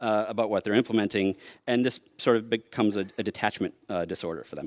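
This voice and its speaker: A man with an American accent speaks very fast. The sound is dry and close with no echo, on a very clean recording with a silent background. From US Northeast, Boston. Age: 40s. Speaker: software engineering leader and keynote speaker. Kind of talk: conference keynote. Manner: casual, hesitant with many fillers.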